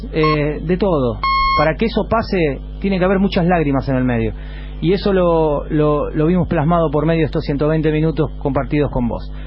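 A man's very even-volume speech comes with audible room echo and noticeable background noise. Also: moderate pace. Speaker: radio host. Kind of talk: live radio talk. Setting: radio studio.

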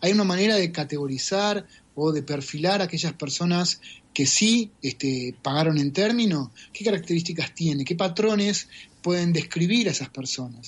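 This man has a high-pitched voice with ordinary pitch variation. He speaks at a moderate pace. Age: 40s. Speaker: data scientist. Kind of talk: interview.

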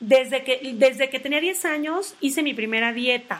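The speaker goes at a fairly slow pace. Pitch varies in an ordinary way. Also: woman. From Tabasco, Mexico. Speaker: health coach and podcast host. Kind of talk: casual informative talk. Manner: hesitant, many fillers.

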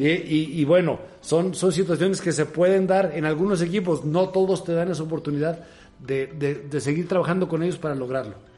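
A man with a Mexican accent, a high pitch and a fairly quick pace. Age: 50s. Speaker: football assistant coach. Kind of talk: interview.

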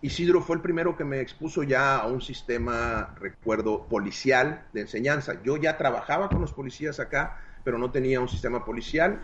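A somewhat breathy man's voice at a medium pitch, fairly quick and lively in intonation, with hardly any pauses. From Mexico, Hermosillo, Sonora. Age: 40s. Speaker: martial arts instructor. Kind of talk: interview.

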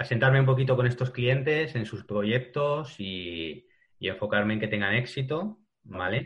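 Lively intonation marks this man's medium-pitched voice as he speaks at a fairly slow pace. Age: 40s. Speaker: digital ad specialist. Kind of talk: interview. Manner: halting.

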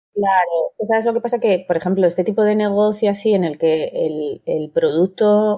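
The woman's voice carries a dark, mellow tone. Her pitch changes only a little as she talks. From Madrid. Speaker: maths teacher and hospitality consultant. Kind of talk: interview.

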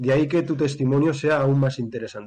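This man talks at a very fast pace with a fairly high pitch. His voice is somewhat breathy. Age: young. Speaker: podcast co-host. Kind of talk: casual chat. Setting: online call.

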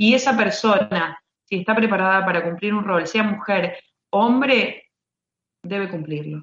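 Here a woman speaks in an Argentine accent at a fairly slow pace. Her pitch is medium, with ordinary variation. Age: 30s. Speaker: basketball referee. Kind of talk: interview. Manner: halting, many repeated words.

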